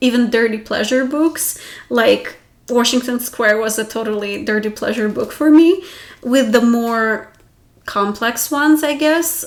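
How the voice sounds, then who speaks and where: A woman's high-pitched voice with a non-native accent, at a fairly slow pace. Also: ordinary pitch variation. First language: not English. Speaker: book vlogger. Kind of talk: casual talk to camera. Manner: casual.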